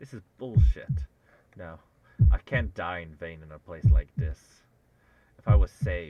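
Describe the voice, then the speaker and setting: Over a dry, close sound with no echo, a man with a very deep, low, dark and mellow voice with vocal fry speaks at a moderate pace, with long, frequent pauses, very wide pitch swings and big swings in loudness. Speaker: vtuber streamer. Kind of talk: reading aloud. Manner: animated.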